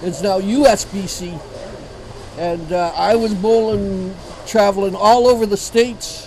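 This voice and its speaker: Speaking with an Ontario accent, the voice moves at a fairly slow pace with long, frequent pauses and fairly even intonation, with audible room echo and noticeable background noise. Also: man, high pitch for a man, big swings in loudness. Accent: Canadian (Ontario). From Ontario, Canada (Sarnia area). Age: 70s. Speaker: veteran amateur bowler. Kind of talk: interview.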